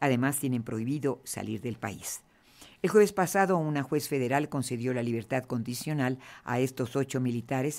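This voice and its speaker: Speech moves at a moderate pace in a very clean recording with a silent background. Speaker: news anchor. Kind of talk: news reading.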